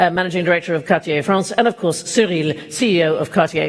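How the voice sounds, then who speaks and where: There is noticeable background noise. The speaker talks at a fairly quick pace. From Denmark. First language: Danish. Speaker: event host. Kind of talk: awards ceremony hosting. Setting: stage with audience.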